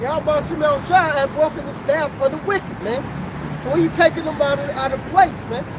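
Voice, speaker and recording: A man at an extremely high pitch, lively intonation and a moderate pace, with noticeable background noise. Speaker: street preacher. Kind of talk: street preaching. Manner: animated.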